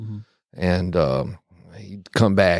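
A man's very deep, low voice with vocal fry, at a fairly slow pace, on a very clean recording with a silent background. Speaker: military veteran. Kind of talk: casual podcast interview.

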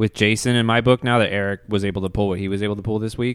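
With an animated tone and a fairly low pitch, a man speaks on a very clean recording with a silent background. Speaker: co-host. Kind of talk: casual chat. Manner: animated, jokey.

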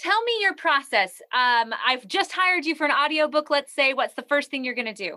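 A raised, projected voice with a bright, sharp tone moves at a moderate pace with hardly any pauses and very wide pitch swings, in a dry, close recording with no echo. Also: woman, high pitch for a woman. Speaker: podcast host. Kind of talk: interview chat. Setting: video call.

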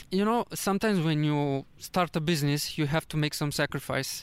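A fairly high-pitched man with a Romanian accent, in a very clean recording with a silent background. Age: 30s. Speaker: travel vlogger. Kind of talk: casual interview. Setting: in person in Vietnam. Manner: halting.

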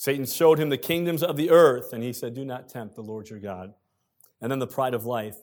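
A very clean recording with a silent background, featuring a man at a moderate pace and ordinary pitch variation. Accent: American. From United States. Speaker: pastor. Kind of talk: sermon. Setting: church.

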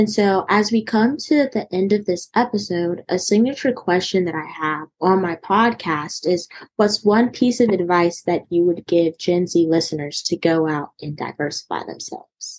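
A woman with an American accent talks at a moderate pace in a normal speaking voice with ordinary pitch variation. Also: medium pitch for a woman. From North Carolina. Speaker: podcast host. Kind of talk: podcast interview.

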